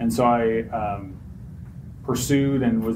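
Audible room echo and noticeable background noise surround a man with an American accent. His pitch is medium and his intonation is monotone and flat. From Utah. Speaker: recovering addict sharing story. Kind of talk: testimony. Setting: stage with audience.

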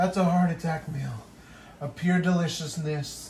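Over faint background noise, a man speaks at a fairly slow pace with fairly high pitch, a slightly mellow tone and fairly even intonation.

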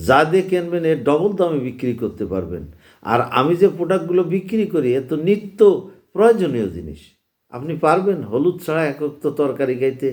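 Lively intonation and an animated tone mark this man's fairly high-pitched voice. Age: 60s. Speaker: spice trader. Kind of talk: sales pitch. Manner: animated, exhortative.

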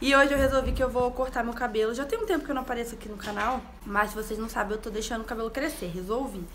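A woman at a very fast pace, high in pitch with ordinary pitch variation, over light background noise. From Rio de Janeiro. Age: 20s. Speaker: vlogger. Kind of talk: casual talk to camera. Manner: upbeat. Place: home room. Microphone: phone near.

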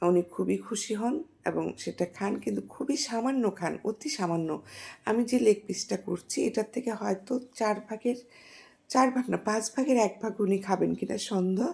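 Her fairly high voice carrying vocal fry, a woman speaks. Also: ordinary pitch variation. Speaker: home cook. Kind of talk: cooking tutorial voiceover.

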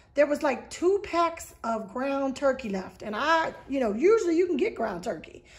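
This woman has a high pitch. Her intonation is lively. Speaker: vlogger. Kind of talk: casual vlog chat. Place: home room. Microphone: phone near.

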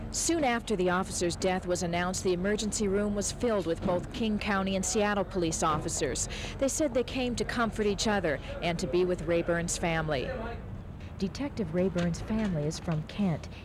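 A woman with an American accent speaks at a fairly quick pace and very even loudness. The sound is dry with no echo, though noticeable background noise is present. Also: ordinary pitch variation. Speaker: TV news reporter. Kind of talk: 1980s TV news report, scripted. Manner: formal, measured, even news delivery. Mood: somber, measured. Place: street. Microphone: handheld.

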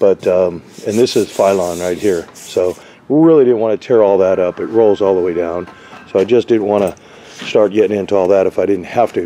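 Over light background noise, a man with a fairly low voice talks at a moderate pace with ordinary pitch variation. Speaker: roofing contractor. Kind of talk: tutorial. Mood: matter-of-fact, critical. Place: workshop. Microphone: phone near.

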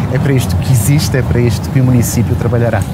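Ordinary pitch variation against loud background noise. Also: man. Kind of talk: interview answer. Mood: earnest, committed. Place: street. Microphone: lapel.

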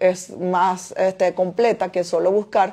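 A woman's intonation stays fairly level while the background remains quiet. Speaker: import business owner and online teacher; import business host. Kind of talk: Q&A livestream answering viewer questions. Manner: fast. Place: home room. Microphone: phone near.

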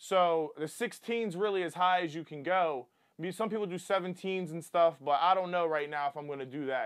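Over a quiet background, a man with an American accent talks in a high voice. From US Mid-Atlantic (Wilmington, Delaware); Delaware. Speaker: car enthusiast YouTuber; car enthusiast vlogger. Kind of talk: casual tutorial. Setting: indoors at home. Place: home room.

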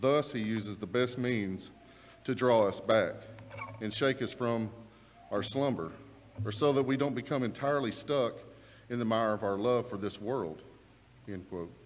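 At a moderate pace, a man talks with ordinary pitch variation and long, frequent pauses. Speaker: preacher. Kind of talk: sermon. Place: church. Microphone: lapel.

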